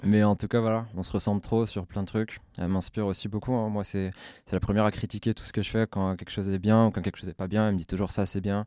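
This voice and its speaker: A man with a fairly low pitch and a dark, mellow tone speaks in a monotone, flat intonation at a very fast pace. The recording is very clean with a silent background. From France, Essonne (Paris suburbs). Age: 20s. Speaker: freestyle footballer and slam poet. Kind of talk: casual interview.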